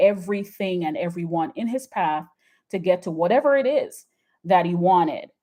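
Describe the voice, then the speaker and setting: A woman with a dark, mellow tone, lively intonation and a moderate pace. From Jamaica. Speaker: YouTube commentator. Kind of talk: live stream chat. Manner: enunciated; halting.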